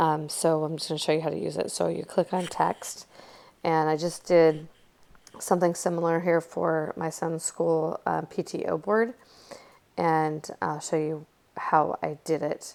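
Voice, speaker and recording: In a very deep, low pitch, a woman speaks with monotone, flat intonation. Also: fairly slow pace. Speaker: crafting tutorial creator. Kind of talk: tutorial. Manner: casual, hesitant with fillers.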